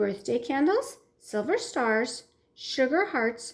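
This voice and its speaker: At a fairly slow pace, a woman puts on a character voice pitched high. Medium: read story.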